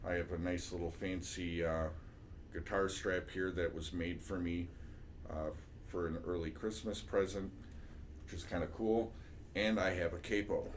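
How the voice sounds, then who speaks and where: A man speaks at a very deep, low pitch with fairly even intonation and a somewhat breathy quality. Long, frequent pauses break up his speech, and room echo is audible. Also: moderate pace. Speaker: music teacher. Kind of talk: tutorial. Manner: casual, with many fillers.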